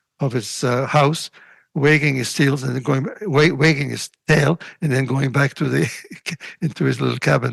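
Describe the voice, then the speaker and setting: A man's voice with vocal fry at a moderate pace. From Latvia. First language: Russian. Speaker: retired engineer and volunteer. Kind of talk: interview. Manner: halting, many fillers.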